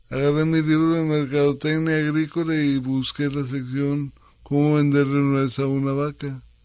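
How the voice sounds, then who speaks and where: Speaking at a moderate pace, a man uses a fairly high pitch and a monotone, flat delivery. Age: 50s. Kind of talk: interview.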